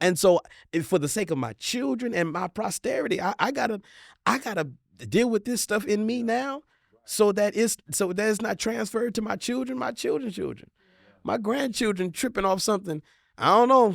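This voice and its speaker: Recorded very cleanly against a silent background, a man speaks at a high pitch in a dry, close sound with no echo. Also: lively intonation, moderate pace. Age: 40s. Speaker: marriage counselor and couples show host. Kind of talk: casual panel discussion. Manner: halting, many repeated words.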